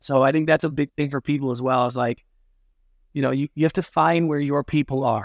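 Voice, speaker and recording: In a very clean recording with a silent background, a man with an unremarkable speaking voice talks fairly quickly at a fairly high pitch with fairly even intonation. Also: dry, close sound with no echo. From Canada. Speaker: television producer and business consultant. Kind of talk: interview.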